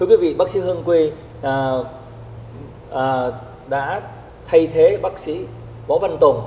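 A man talks at a fairly slow pace. Light background noise and audible room echo fill the recording. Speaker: TV show host. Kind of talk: talk show introduction. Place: studio. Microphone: lapel.

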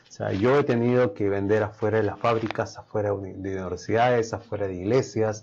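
Talking at a fairly quick pace with hardly any pauses, a man has a plain, everyday voice, fairly low in pitch with fairly even intonation, over light background noise. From Peru. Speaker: chef and food business owner; guest. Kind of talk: interview. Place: studio.

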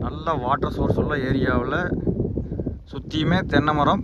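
A man is speaking. Faint background noise can be heard.

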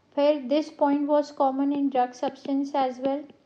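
A woman speaks at a moderate pace. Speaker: pharmacy educator. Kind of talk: lecture.

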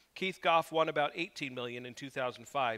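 A man talks with a bright, sharp tone. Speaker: preacher. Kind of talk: sermon. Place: church.

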